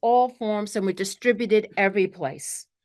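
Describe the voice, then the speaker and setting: This is a woman with a medium pitch. She talks at a moderate pace. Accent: Brooklyn. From New York, Brooklyn. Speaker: spiritual teacher. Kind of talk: spiritual talk to a group. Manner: animated.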